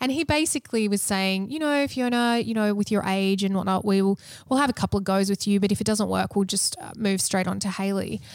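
A woman talks at a very fast pace with hardly any pauses. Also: medium pitch for a woman, ordinary pitch variation. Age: 30s. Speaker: podcast co-host going through IVF. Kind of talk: casual chat.

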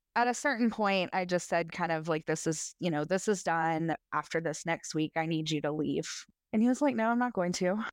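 This woman has a normal speaking voice, fairly low in pitch, with lively intonation, a moderate pace and very even loudness, recorded dry and close with no echo against a quiet background. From US South, Middle Tennessee. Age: 30s. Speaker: podcast guest sharing abuse story. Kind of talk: testimony.

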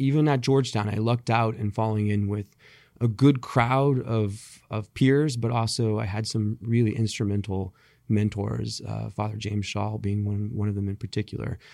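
Speaking with an American accent, a man has a dark, mellow tone and a moderate pace. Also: fairly low pitch for a man, fairly even intonation, very clean recording, silent background. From California Central Valley. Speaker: conservative policy lawyer. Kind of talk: interview.

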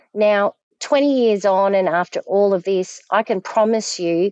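Speaking in a strong Australian accent, a woman uses a medium pitch and ordinary pitch variation, with a dry, close sound with no echo and a quiet background. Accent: broad Australian. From Australia, Victoria (Frankston). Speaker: survivor of domestic abuse, ex-wife of offender. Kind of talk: testimony.

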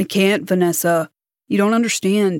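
Doing a whiny, put-on character voice, a woman speaks at a moderate pace with a medium pitch and fairly even intonation, in a dry, close sound with no echo. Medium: read story. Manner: whining.

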